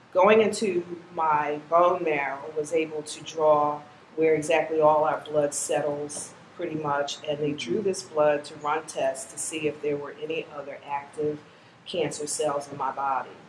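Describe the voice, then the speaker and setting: Amid noticeable background noise, a woman with a very deep, low pitch speaks fairly slowly, her intonation fairly even but her loudness swinging widely. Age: 60s. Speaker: cancer survivor. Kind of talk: testimony.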